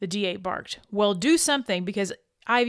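Over a quiet background, this plain reading aloud carries lively intonation.

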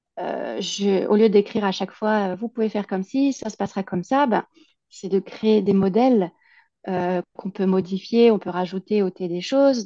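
Against a quiet background, a woman with a dark, mellow tone speaks at a fairly slow pace in a dry, close sound with no echo. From France, Alsace. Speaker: immigration consultant, entrepreneur. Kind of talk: interview. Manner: hesitant, many fillers.

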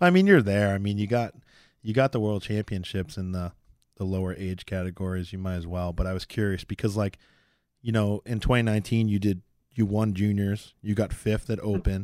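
On a very clean recording with a silent background, a man speaks at a fairly quick pace. He has a normal speaking voice, with a fairly low pitch and fairly even intonation. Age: 30s. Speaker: podcast host, powerlifter. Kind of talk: casual chat.

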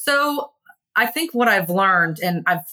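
A woman speaks in an American accent. Her tone is bright and sharp. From Texas (Kingwood, Houston area). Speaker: recruitment business owner. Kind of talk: interview chat.

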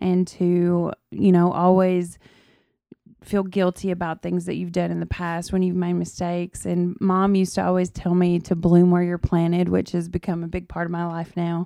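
A woman's fairly low, dark, mellow voice with a Southern accent, monotone and flat at a moderate pace, on a very clean recording with a silent background. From Tennessee, South Fulton. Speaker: podcast guest, host's wife. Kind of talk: casual chat.

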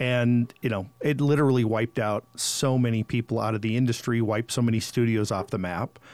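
A man with a medium-pitched voice talks at a fairly quick pace with hardly any pauses and fairly even intonation, dry and close with no echo, as music plays in the background. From North Dakota, Fargo. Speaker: audio engineer. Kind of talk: casual interview chat.

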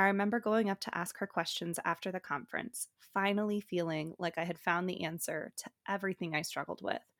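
A woman with a General American accent speaks at a fairly quick pace with ordinary pitch variation. The recording is very clean, with a silent background and a dry, close sound with no echo. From Colorado. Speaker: podcast host, dietetics student. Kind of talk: personal monologue.

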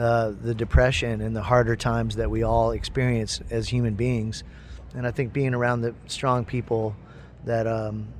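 Delivered at a moderate pace, the speech carries an American accent. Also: man. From upstate New York and Ohio. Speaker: musician. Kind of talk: backstage interview. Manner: halting.

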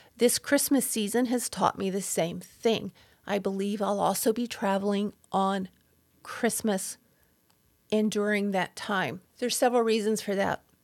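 In a very clean recording with a silent background, a woman uses an ordinary speaking voice with fairly even intonation. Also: medium pitch for a woman. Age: 60s. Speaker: podcast host, abuse survivor. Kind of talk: solo podcast monologue.

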